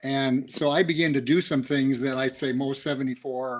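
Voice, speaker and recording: In monotone, flat intonation, a man talks at a medium pitch. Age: 70s. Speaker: human resource consultant, former college quarterback. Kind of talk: interview. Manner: halting.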